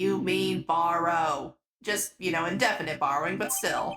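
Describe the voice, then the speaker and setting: At a moderate pace and middle pitch, the speaker delivers a put-on character voice. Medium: game stream. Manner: dry, deadpan.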